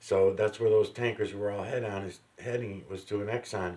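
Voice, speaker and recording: Somewhat breathy man at a moderate pace. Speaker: commentator reacting to videos. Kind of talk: casual commentary.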